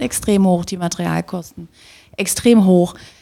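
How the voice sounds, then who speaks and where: The recording is very clean, with a silent background. A woman with a fairly low pitch and a dark, mellow tone speaks at a moderate pace. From Magdeburg, eastern Germany. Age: 40s. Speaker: marketing manager of a housing cooperative. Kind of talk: casual interview. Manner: laughs a lot.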